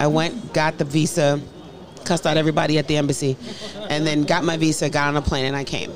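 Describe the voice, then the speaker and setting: Very deep, low female voice in a monotone, flat intonation at a very fast pace, with noticeable background noise. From US, of Nigerian parents. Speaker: professor. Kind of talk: casual chat.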